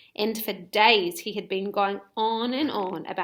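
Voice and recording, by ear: This is reading aloud. It is done in a natural voice.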